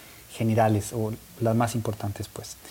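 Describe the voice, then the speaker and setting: This is a man speaking with a Costa Rican accent. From Costa Rica (Turrialba). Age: 40s. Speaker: talk show host. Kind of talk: interview. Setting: in-person studio, streamed live.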